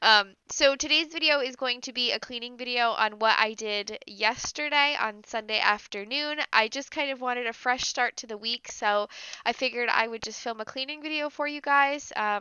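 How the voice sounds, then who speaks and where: A woman speaks at a high pitch and a moderate pace. She barely pauses, and her pitch variation is ordinary. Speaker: lifestyle vlogger. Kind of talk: casual vlog intro.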